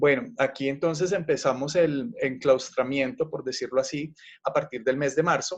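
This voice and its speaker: A man talks at a moderate pace with a Colombian accent. His pitch is fairly high, with ordinary variation. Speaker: university teacher. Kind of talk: panel discussion.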